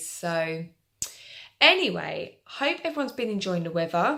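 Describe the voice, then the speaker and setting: A woman puts on a croaky character voice at medium pitch, swinging very widely in pitch at a moderate pace. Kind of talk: casual, chatty.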